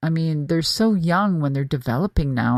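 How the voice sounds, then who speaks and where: A woman speaks in an ordinary speaking voice, pitched fairly low, with lively intonation. The sound is dry and close, with no echo. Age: 60s. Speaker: podcast host and former pro wrestler. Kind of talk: casual monologue. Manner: casual, with many fillers.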